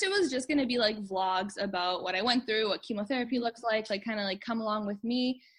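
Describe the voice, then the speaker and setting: The voice is somewhat breathy against a quiet background. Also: woman. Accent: Canadian. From Canada, Manitoba (Winnipeg). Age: 20s. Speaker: translator, cancer survivor. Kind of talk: interview, personal testimony.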